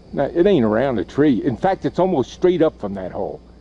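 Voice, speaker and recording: Against noticeable background noise, a man with a fairly high pitch speaks at a moderate pace, his pitch swinging very widely. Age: 70s. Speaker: deer hunter. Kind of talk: casual narration on a hunting trip. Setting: outdoors in woods.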